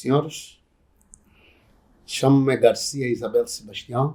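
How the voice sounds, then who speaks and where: A man speaks at a very slow pace with a fairly high pitch. His voice is somewhat breathy, with a dark, mellow tone. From Angola, Soyo (Zaire province). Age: 70s. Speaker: traditional community chief. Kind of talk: oral history interview.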